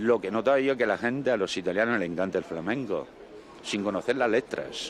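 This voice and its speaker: Talking very fast at a medium pitch, a man lets his pitch vary in an ordinary way. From Italy, Abruzzo. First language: Italian (speaking Spanish). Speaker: passer-by interviewed. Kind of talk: street interview.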